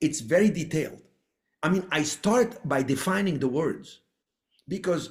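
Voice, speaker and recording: A man with an Arabic accent speaks at a moderate pace, his intonation lively. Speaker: real estate investor. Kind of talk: podcast interview.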